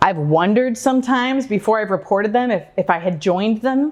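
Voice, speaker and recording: A woman with an American accent speaks at a medium pitch and a moderate pace. Her intonation is lively. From Oregon, USA. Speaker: community advocate, public speaker. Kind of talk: live stage talk. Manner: light-hearted, gently humorous.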